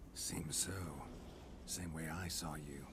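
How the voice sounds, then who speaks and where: Over loud background noise, a man uses a put-on character voice pitched very deep and low. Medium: machinima. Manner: terse, dry, low-key.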